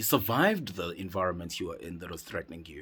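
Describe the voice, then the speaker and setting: Over a silent background, a man talks at a fairly quick pace. His pitch is fairly low and the recording is very clean. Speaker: psychedelic retreat facilitator. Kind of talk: motivational monologue. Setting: in a cave. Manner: impassioned.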